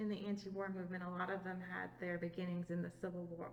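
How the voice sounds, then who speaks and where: Talking at a very fast pace, a woman keeps a monotone, flat intonation at a fairly low pitch. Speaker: museum oral history interviewer. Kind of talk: interviewer questions.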